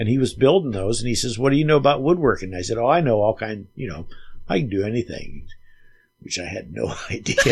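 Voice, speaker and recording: A somewhat breathy man speaks at a very fast pace with very wide pitch swings. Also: medium pitch for a man. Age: 70s. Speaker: retired carpenter and mandolin player. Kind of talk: casual interview chat. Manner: halting, many fillers.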